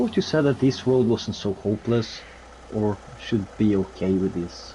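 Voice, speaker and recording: A man with a Norwegian accent speaks with ordinary pitch variation. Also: fairly low pitch for a man, moderate pace. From Norway. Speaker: co-op gamer. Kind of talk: casual chat.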